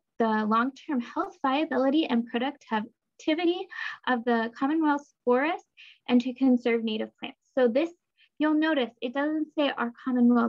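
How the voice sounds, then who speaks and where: Speaking at a moderate pace, a woman uses a high pitch with ordinary pitch variation over a quiet background. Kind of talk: webinar presentation. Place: home room. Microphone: webcam.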